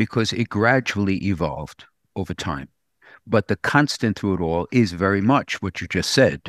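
At a moderate pace, a man with a fairly low pitch and lively intonation speaks in an unremarkable speaking voice, recorded with a dry, close sound and no echo. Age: 60s. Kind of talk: casual radio conversation.

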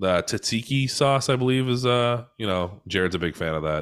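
With an American accent, a man speaks in a plain, everyday voice at a fairly low pitch with lively intonation, on a very clean recording with a silent background. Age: 30s. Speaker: podcaster. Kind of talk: casual chat.

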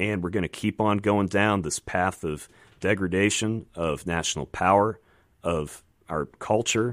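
Recorded very cleanly against a silent background, with a dry, close sound and no echo, a man has a normal speaking voice with an American accent, a fairly low pitch and ordinary pitch variation. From Virginia. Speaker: congressional candidate and former Navy pilot. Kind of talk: radio interview. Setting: radio studio.

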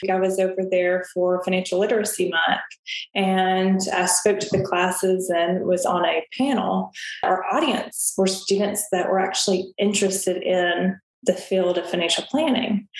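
A woman's medium-pitched voice in a Southern US accent, at a moderate pace with fairly even intonation and very even loudness. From Tennessee, US South. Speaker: financial advisor. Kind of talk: interview.

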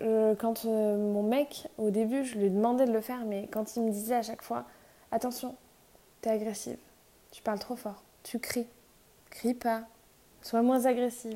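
A woman's calm, dark, mellow tone at a fairly high pitch, in a monotone, flat intonation at a fairly slow pace, with long, frequent pauses and big swings in loudness. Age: 20s. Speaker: podcaster. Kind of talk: casual monologue. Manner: unscripted, hesitant.

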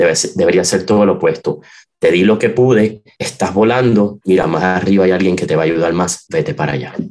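A man uses a normal speaking voice, pitched fairly low, with lively intonation. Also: fairly quick pace. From Puerto Rico, San Juan metro area. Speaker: organist. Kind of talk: interview.

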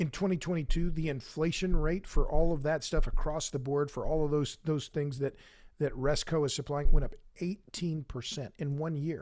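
A man with an unremarkable speaking voice talks at a moderate pace and a fairly high pitch. His intonation stays fairly even on a very clean recording with a silent background. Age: 60s. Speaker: author and podcaster. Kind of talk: casual interview.

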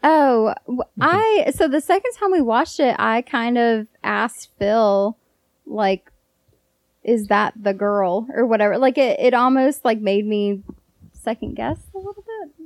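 A woman with an ordinary speaking voice talks at a fairly slow pace. Her pitch is fairly high and her intonation lively. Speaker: girlfriend guest. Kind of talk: casual interview chat.

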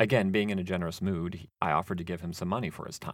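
A man with a very deep, low pitch races along at a very fast pace in an American accent. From US Pacific Northwest, Seattle area. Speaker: podcast host. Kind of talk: storytelling monologue.

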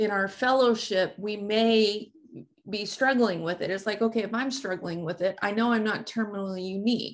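A woman speaks with a plain, everyday voice at a medium pitch. Her intonation stays fairly even. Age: 50s. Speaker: podcast host. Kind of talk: casual interview chat.

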